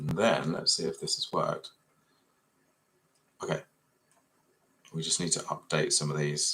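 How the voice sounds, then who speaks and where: A man with an English accent at a moderate pace, with long, frequent pauses. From Essex, England. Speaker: 3D fashion design tutor. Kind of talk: live software tutorial. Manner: casual, thinking aloud.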